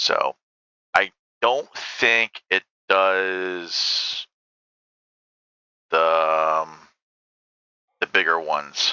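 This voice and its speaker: In a dry, close recording with no echo, a man with a very deep, low voice speaks at a very slow pace, with ordinary pitch variation and long, frequent pauses. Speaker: gaming video creator. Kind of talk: gameplay commentary. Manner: casual, filler-heavy.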